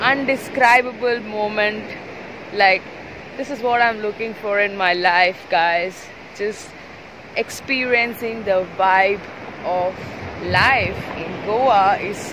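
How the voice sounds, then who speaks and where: Very slowly and with long, frequent pauses, a woman speaks with ordinary pitch variation in a dry sound with no echo, though noticeable background noise is present. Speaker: travel vlogger. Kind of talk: casual vlog chat. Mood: happy, excited. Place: beach. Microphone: phone near.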